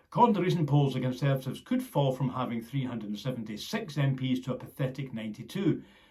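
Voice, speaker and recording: The man's voice is somewhat breathy. He gets his words out at a very fast pace. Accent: Scottish. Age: 60s. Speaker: political commentator. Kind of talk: scripted narration.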